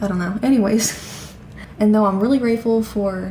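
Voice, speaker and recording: Amid noticeable background noise, a woman talks at a fairly high pitch. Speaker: vlogger. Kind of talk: casual vlog monologue. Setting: at home.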